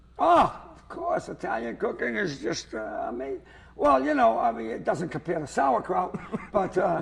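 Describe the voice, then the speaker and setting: With a Boston accent, a man talks at a moderate pace, his loudness swinging widely against noticeable background noise. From Lynn, Massachusetts. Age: 70s. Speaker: comedian. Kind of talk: comedic interview chat. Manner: animated.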